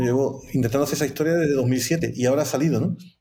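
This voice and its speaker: A man at a medium pitch, a normal speaking voice. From Seville, Andalusia, Spain. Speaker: film producer. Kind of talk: live-streamed interview.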